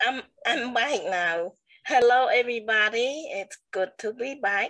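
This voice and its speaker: Lively intonation marks this voice with a Cambodian accent. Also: woman, high pitch for a woman. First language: Khmer. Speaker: talk show co-host. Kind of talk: testimony; casual chat.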